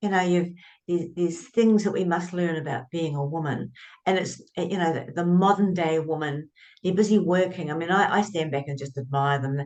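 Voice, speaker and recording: With a New Zealand accent, a woman speaks fairly quickly in a fairly low voice with ordinary pitch variation. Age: 70s. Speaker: author and writing coach. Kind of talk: interview conversation.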